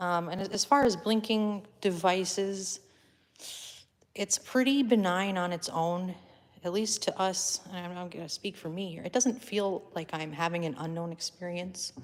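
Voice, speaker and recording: A woman speaks with ordinary pitch variation. Her loudness swings widely. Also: medium pitch for a woman, fairly slow pace. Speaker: paranormal investigator. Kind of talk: live paranormal session, calling out to spirits. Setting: attic of an old building, live stream.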